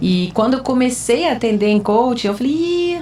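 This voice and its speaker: A woman talks at a moderate speed while noticeable noise sits in the background. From France (French-Brazilian, schooled in France). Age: 40s. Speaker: psychology student, former marketing manager and coach. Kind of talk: casual podcast chat.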